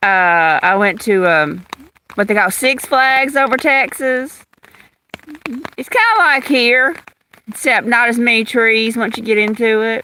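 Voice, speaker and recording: In a Louisiana accent, a woman speaks at a fairly high pitch with lively intonation. Her pace is fairly slow, with long, frequent pauses. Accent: Louisiana Southern. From Louisiana, US South. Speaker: nature livestreamer. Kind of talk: casual live-stream chat. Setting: outdoors in the rain under an umbrella.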